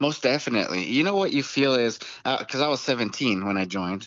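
A man with an American accent, medium pitch, lively intonation and a fairly quick pace, in a plain, everyday voice. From Tucson, Arizona. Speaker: co-host, combat veteran. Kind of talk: casual chat.

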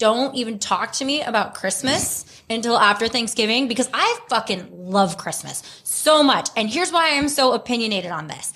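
In an ordinary speaking voice, a woman with an American accent speaks at a moderate pace with a fairly high pitch and lively intonation. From US South, Houston, Texas. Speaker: podcast co-host. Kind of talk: casual chat.

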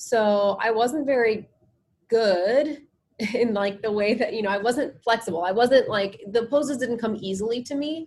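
At a moderate pace, an unremarkable speaking voice talks with ordinary pitch variation. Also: woman, fairly high pitch for a woman. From New Jersey, US. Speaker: yoga and meditation instructor. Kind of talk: casual interview chat.

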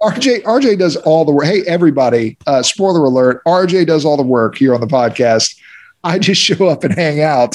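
A man talks in a plain, everyday voice at a moderate pace. His intonation is lively and his loudness very even. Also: fairly high pitch for a man. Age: 30s. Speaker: racing driver and podcast co-host. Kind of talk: casual chat.

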